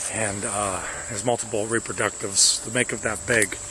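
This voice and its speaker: Quiet and monotone, with flat intonation, a man speaks at fairly low pitch over noticeable background noise. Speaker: pest control technician. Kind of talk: on-the-job demonstration. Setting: outdoors in a yard. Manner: quiet, low voice; halting, many fillers.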